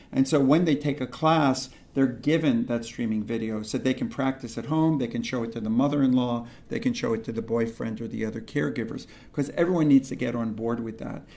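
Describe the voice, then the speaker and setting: A man's dark, mellow tone at a fairly quick pace, with ordinary pitch variation and audible room echo. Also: medium pitch for a man. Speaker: pediatrician and lecturer. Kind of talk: lecture. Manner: fast.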